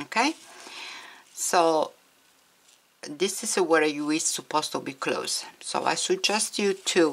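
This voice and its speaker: Speaking at a very slow pace with long, frequent pauses, a woman with a non-native accent uses a medium pitch and ordinary pitch variation. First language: not English. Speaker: crochet tutorial maker. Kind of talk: tutorial.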